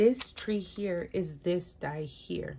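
The speaker is a woman with a fairly low pitch and ordinary pitch variation. Light background noise can be heard. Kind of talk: casual show-and-tell chat. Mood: cheerful, amused. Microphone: phone near.

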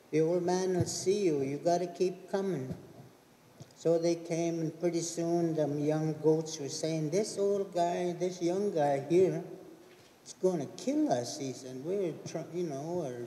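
A man with a high-pitched voice and ordinary pitch variation talks at a very slow pace, with audible room echo. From Okanagan, British Columbia; British Columbia. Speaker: elder storyteller. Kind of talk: storytelling.

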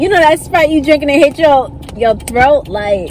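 Light background noise sits behind a female speaker. Her audio is dry and free of echo. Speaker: food reviewer vlogger. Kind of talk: casual vlog chat. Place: car. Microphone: phone near.

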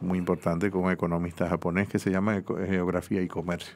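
A man's voice sits very deep and low, delivered at a moderate pace. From Dominican Republic. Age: 50s. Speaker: economist; guest. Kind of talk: interview. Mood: calm, explanatory. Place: studio. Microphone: studio mic.

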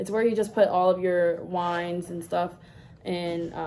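Over light background noise, a woman's words come at a moderate pace. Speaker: haul vlogger. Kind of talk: casual vlog chat. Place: home room. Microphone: phone near.

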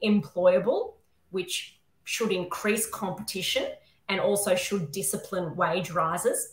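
A woman with an Australian accent speaks at a medium pitch and a fairly slow pace. Audible room echo is present. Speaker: constitutional lawyer and academic; constitutional lawyer. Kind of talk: panel discussion. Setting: video call. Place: home room. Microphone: webcam.

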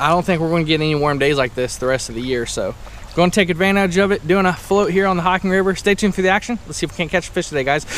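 Very fast and high-pitched, a man talks in a dry sound with no echo over light background noise. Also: ordinary pitch variation. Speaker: fishing vlogger. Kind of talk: casual vlog chat. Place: waterside. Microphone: phone near.

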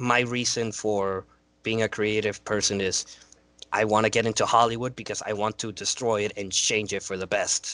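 A man with a fairly low pitch and a bright, sharp tone, monotone and flat, at a moderate pace in a dry sound with no echo. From Cuba. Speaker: student filmmaker; guest. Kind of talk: casual interview chat. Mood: casual, reflective. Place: home room. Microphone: headset.

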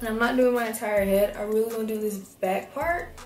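A woman speaks in a room with audible echo. Faint music plays in the background. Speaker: hair vlogger. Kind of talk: casual tutorial vlog chat. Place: bathroom. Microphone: phone near.

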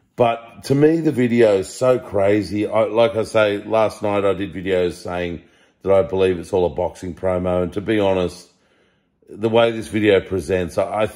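At a moderate pace, a man speaks with low pitch, a slightly mellow tone and ordinary pitch variation.

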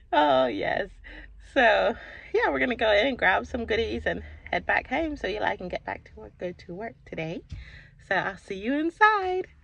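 Dry sound with no echo, big swings in loudness, and a moderate pace. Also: woman. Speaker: mom vlogger. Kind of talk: casual vlog chat. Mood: cheerful, relaxed. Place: car. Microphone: phone near.

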